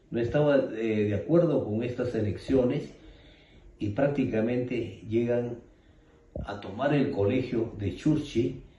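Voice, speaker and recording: Speech comes at a very slow pace with ordinary pitch variation, and audible room echo surrounds it. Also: man, medium pitch for a man. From Ayacucho, Peru. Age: 60s. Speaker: witness of armed conflict. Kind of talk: testimony. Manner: hesitant, many fillers.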